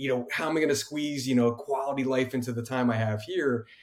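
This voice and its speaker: A man speaks at a fairly quick pace in a plain, everyday voice, medium in pitch, with fairly even intonation. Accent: American. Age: 40s. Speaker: podcast host. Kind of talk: casual interview chat.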